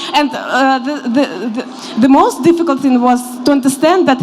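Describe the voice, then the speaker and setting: At a moderate pace, a woman speaks with a high pitch and ordinary pitch variation, with noticeable background noise and audible room echo. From Ukraine. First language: Ukrainian and Russian. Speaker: newcomer interviewee. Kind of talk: panel interview.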